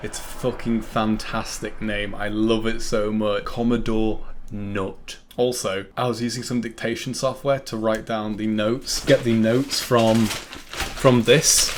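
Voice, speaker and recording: A man with a medium-pitched voice speaks with a northern English accent. His delivery is monotone and flat, at a fairly slow pace. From northern England. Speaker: film reviewer. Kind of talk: scripted commentary review. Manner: casual, sweary.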